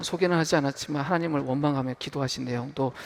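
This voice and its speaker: A man with an unremarkable speaking voice talks in a medium pitch with fairly even intonation. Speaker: pastor. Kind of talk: sermon. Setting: church.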